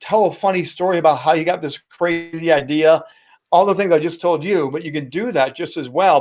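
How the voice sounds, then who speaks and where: With a Midwestern American accent, a man speaks at a fairly high pitch. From Indiana, US Midwest. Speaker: sportscaster and speaking coach. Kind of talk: interview.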